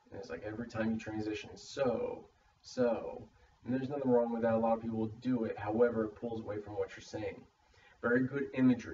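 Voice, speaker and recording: Over noticeable background noise, a man talks very fast in a flat monotone at a medium pitch. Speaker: student in a public speaking course. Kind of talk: spoken peer critique for a class assignment. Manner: stammers; uses many fillers like uh.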